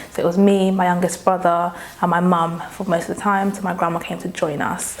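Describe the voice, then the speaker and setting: A woman's fairly low, monotone voice at a fairly quick pace, amid noticeable background noise and audible room echo. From London, England (born in Nigeria). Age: 20s. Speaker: interviewee sharing trauma story. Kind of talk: personal testimony.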